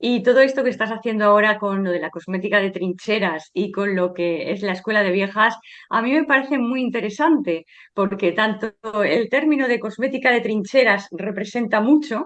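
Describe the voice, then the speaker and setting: Pitch moves in an ordinary way. The delivery comes at a moderate pace. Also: woman, fairly high pitch for a woman. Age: 60s. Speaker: sociologist and author. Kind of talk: interview. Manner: hesitant with fillers.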